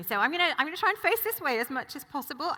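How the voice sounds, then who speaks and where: This woman's voice moves in very wide pitch swings. Her pace is fairly quick. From Hong Kong. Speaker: panel moderator. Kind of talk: panel moderation.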